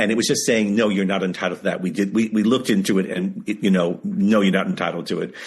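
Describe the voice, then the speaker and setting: Against a quiet background, a man with an American accent talks at a very fast pace and a fairly low pitch. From New York. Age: 70s. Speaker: author. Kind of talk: interview. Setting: video call. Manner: animated.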